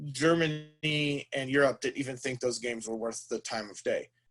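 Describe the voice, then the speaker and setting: A man with an unremarkable speaking voice. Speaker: board game industry professional. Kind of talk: lecture to a class. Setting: classroom.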